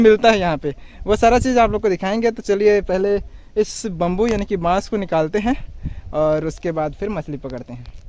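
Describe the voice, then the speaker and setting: The man's voice sits high, moving at a moderate pace with ordinary pitch variation, in a dry recording with no echo. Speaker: village vlogger. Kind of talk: casual vlog chat. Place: waterside. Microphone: phone near.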